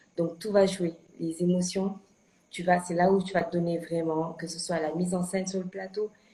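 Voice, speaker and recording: At a moderate pace, a woman speaks in a fairly low pitch with monotone, flat intonation amid noticeable background noise. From Senegal. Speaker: actress. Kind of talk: interview. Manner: hesitant, many fillers and repetitions.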